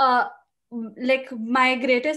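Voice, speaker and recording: A woman speaks in a monotone with flat intonation. The background is quiet. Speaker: aspiring UX designer; designer getting portfolio reviewed. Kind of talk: presenting own portfolio project. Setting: video call. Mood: slightly worried, earnest. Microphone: video call.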